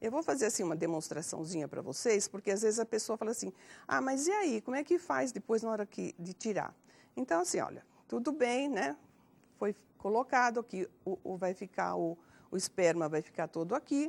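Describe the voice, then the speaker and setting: On a very clean recording with a silent background and a dry, close sound with no echo, a woman with a fairly high pitch and vocal fry talks at a moderate pace with very wide pitch swings. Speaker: elderly HIV prevention agent. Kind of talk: TV health program talk, demonstration. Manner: hesitant, many fillers.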